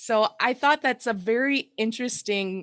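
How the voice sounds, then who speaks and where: A woman's fairly high voice at a fairly slow pace with ordinary pitch variation, on a very clean recording with a silent background. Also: dry, close sound with no echo. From US Midwest, Iowa. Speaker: podcast host. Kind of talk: casual chat.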